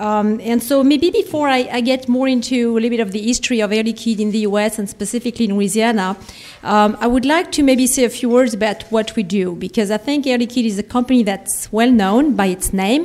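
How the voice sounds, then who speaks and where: A woman with a French accent speaks at a fairly quick pace with hardly any pauses. Her fairly high voice shows ordinary pitch variation against noticeable background noise. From France. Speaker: industrial company executive. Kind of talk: conference speech. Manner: halting, many fillers.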